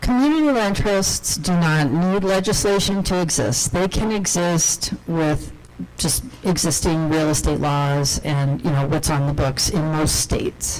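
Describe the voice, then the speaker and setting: Speech moves at a fairly slow pace over noticeable background noise. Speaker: conference presenter on housing policy. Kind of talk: conference presentation.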